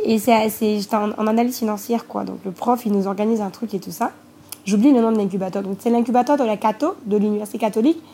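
A very fast, dark and mellow female voice, somewhat breathy and fairly high, with ordinary pitch variation. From Côte d'Ivoire, Grand-Bassam. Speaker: entrepreneur. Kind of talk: interview. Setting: remote call.

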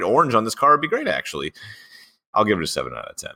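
A man's voice with a bright, sharp tone. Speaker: podcast host. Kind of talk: casual chat. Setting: video call.

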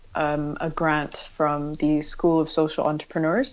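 Fairly low-pitched woman with an American accent at a fairly slow pace, against a quiet background. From California, US West Coast. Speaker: bike workshop founder. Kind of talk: interview. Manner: casual, with laughs.

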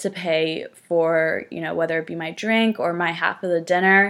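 Speaking at a fairly slow pace, this woman has a fairly low pitch. She talks with an American accent. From US Northeast, northern New Jersey. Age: 20s. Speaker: podcast host. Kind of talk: casual solo chat. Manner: casual, filler-heavy.

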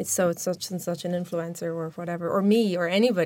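The speaker is a woman with an Irish accent. Her intonation is fairly even. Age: 30s. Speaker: social media expert. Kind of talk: interview.

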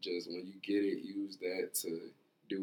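A man with an American accent, a very deep, low pitch and monotone, flat intonation. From Chicago, Illinois. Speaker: entrepreneur, event organizer. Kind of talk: casual interview.

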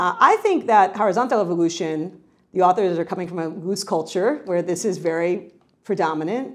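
A woman with an American accent speaks at a fairly quick pace against a quiet background. Hers is a normal speaking voice at medium pitch with ordinary pitch variation. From New York. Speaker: professor. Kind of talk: lecture.

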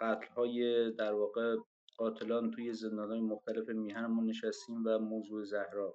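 A man speaks at a fairly slow pace in a medium pitch. He has an unremarkable speaking voice. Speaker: former political prisoner. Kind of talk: online panel discussion. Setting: online audio room.

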